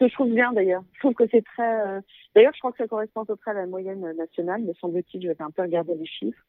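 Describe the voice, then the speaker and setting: A woman's medium-pitched voice at a very fast pace, ordinary pitch variation and big swings in loudness. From Paris, France. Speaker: guesthouse owner. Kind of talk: interview.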